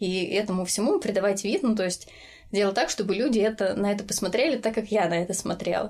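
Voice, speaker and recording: Her pace very fast, a woman speaks at medium pitch with ordinary pitch variation. Her loudness stays very even. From Voronezh region, Russia. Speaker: design team lead. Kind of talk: casual interview chat.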